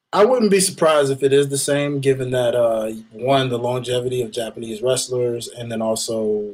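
This man has an ordinary speaking voice at medium pitch with ordinary pitch variation. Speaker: wrestling podcast co-host. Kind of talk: casual chat. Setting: studio.

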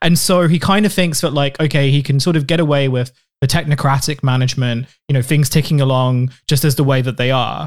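With a British accent, a man talks at a fairly quick pace and fairly high pitch, keeping fairly even intonation and very even loudness. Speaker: podcast co-host. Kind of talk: casual political comedy chat. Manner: halting, many fillers.

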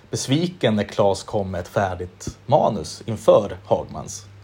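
A man speaks at a fairly low pitch. His voice is somewhat breathy. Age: 30s. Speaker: podcast host. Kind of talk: casual interview chat.

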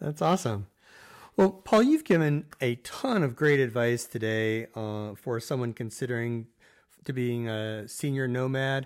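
In a very clean recording with a silent background, a man uses a normal speaking voice at medium pitch with ordinary pitch variation and a fairly slow pace. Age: 50s. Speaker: podcast co-host. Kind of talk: interview.

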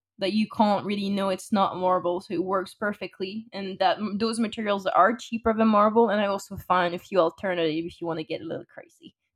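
A woman speaks in a Parisian accent with ordinary pitch variation. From France. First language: French. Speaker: podcast co-host, client services. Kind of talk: casual chat.

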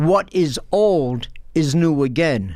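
The speaker is a man. He talks in a New York accent. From Brooklyn, New York. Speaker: former professor and author. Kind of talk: interview.

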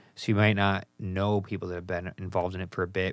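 A man's very deep, low voice with an American accent, in a monotone, flat intonation. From US Midwest. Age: 30s. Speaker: podcast host. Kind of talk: casual interview chat.

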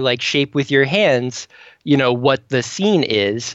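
A man with an American accent speaks at a fairly slow pace. His pitch is fairly high. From US Southern California. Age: 30s. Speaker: fantasy author. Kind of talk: interview.

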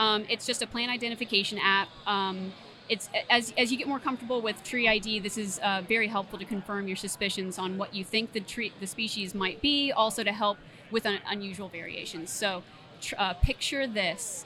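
This woman has a normal speaking voice of medium pitch and fairly even intonation. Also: moderate pace. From Tallahassee, Florida. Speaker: plant health care manager. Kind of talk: interview conversation.

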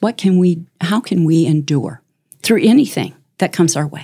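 A woman with a normal speaking voice talks at a fairly slow pace. Her intonation is lively. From US Midwest, Chicago suburbs. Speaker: community volunteer, guest. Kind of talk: casual interview.

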